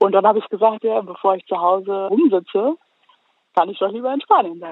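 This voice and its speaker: Her pitch fairly high and its variation ordinary, a woman speaks at a fairly quick pace. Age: 20s. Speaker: animal welfare volunteer. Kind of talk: casual interview. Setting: phone call, outdoors in the countryside.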